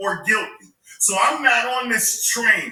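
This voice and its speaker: Raised and projected, a man's extremely high-pitched voice carries ordinary pitch variation amid audible room echo. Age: 40s. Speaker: panelist in online debate. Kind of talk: heated debate. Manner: animated.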